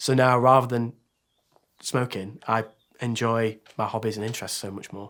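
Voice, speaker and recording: A man with a Yorkshire accent speaks in a flat monotone, with long, frequent pauses, on a very clean recording with a silent background. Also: medium pitch for a man, moderate pace. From northern England, Sheffield. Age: 30s. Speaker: teacher sharing quit-smoking story. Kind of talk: testimony.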